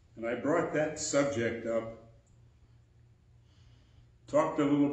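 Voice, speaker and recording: Audible room echo surrounds a man speaking at a fairly slow pace. His intonation is fairly even, with long, frequent pauses. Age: 80s+. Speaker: preacher. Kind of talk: sermon. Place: church. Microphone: podium.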